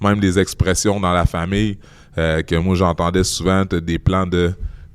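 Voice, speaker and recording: A man with a Quebec accent, very deep in pitch, monotone and flat, at a moderate pace, on a very clean recording with a silent background. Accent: Québécois. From Quebec City, Canada. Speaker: guest speaker on bullying and racism. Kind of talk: interview. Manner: halting, many repeated words.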